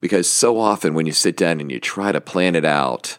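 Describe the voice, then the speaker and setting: A man with a very deep, low voice speaks at a moderate pace on a very clean recording with a silent background and a dry, close sound with no echo. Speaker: podcast host and small publisher. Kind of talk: casual solo podcast monologue. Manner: rambling, hesitant, with fillers; upbeat, enthusiastic.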